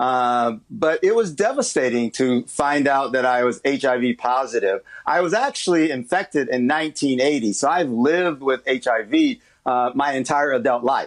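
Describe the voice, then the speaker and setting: A man with an American accent and a plain, everyday voice speaks at a fairly high pitch and a moderate pace. His loudness is very even, his pitch variation ordinary, and the background quiet. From US Midwest, Chicago. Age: 60s. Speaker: HIV activist. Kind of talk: TV interview.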